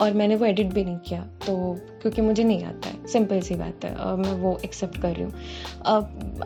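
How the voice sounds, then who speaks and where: A woman is speaking at a moderate pace. There is music behind her. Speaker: student and cover singer. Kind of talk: vlog voice-over narration. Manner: casual, self-deprecating.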